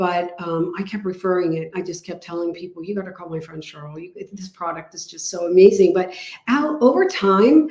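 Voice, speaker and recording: A woman's fairly low voice at a fairly quick pace, with big swings in loudness and ordinary pitch variation. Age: 60s. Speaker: health product distributor. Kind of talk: testimony. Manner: animated.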